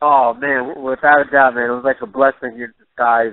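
Speaking at a fairly quick pace in a New York accent, the voice stays monotone with flat intonation. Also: man. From Jamaica, raised in New York. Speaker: MMA fighter. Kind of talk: interview. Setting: phone call.

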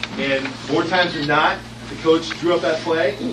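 A man with an American accent and a fairly high pitch speaks at a moderate pace in a monotone, flat intonation, with noticeable background noise. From California, US. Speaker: political candidate. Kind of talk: rally speech, stump speech. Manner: earnest, rallying, emphatic. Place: hall.

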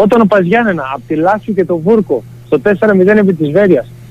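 A man's high-pitched voice. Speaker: football player, team captain. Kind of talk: radio interview. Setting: phone call.

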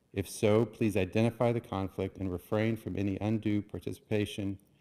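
Moving at a fairly quick pace, a man speaks with a fairly low pitch, fairly even intonation and a dark, mellow tone. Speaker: planning board vice chair. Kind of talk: public meeting chairing. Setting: public meeting room with microphones. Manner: formal. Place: hall. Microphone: podium.

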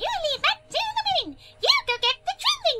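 This is a put-on character voice at an extremely high pitch. It sounds squeaky and moves at a moderate pace. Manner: cartoonish, lively.

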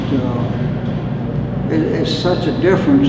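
A man at a very slow pace, with audible room echo and loud background noise. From Alabama. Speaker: retired farm equipment dealer. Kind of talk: interview answer. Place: empty room.

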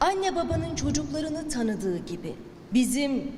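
Through noticeable background noise, a woman talks at a fairly slow pace with very wide pitch swings. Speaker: television presenter. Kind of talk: ceremonial speech. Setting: indoor ceremony.

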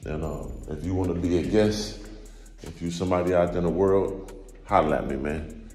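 A man's very deep, low pitch with ordinary pitch variation, audible room echo and faint music in the background. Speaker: vlogger. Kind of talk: casual vlog chat. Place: home room. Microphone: phone near.

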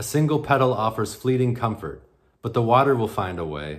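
The background is quiet. A man speaks at a moderate pace, sounding somewhat breathy. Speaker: poet. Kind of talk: poetry reading, performed aloud from written poems. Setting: virtual conference roundtable, recorded video. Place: home room. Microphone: webcam.

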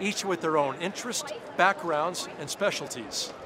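Noticeable background noise accompanies a man who keeps a moderate pace. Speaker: TV show host. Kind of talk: presenter commentary. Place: hall. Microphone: lapel.

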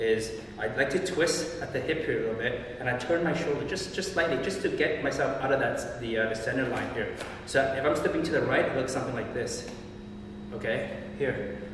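There is noticeable background noise and audible room echo. A man talks at a fairly quick pace. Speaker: boxing instructor. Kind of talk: tutorial. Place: gym.

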